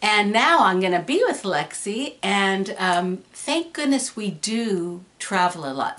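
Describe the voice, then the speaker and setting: There is noticeable background noise as this woman talks at a medium pitch. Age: 60s. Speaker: YouTuber. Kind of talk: casual Q&A video. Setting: room at home. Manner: hesitant, many fillers.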